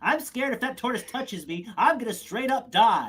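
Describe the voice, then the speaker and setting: Someone does a put-on character voice at a fairly high pitch and a fairly quick pace. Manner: frightened, exaggerated.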